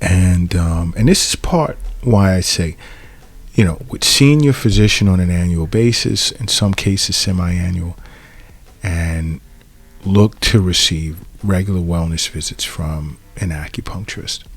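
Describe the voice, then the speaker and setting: A man's very deep, low voice with ordinary pitch variation, music playing in the background. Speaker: acupuncturist podcast host. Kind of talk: solo podcast monologue. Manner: conversational, with false starts.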